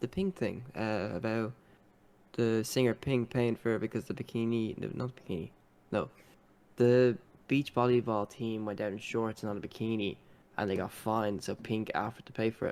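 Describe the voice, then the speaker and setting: A medium-pitched man with an Irish accent. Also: fairly even intonation, moderate pace. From Ireland. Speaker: gaming podcast co-host. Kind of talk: casual chat.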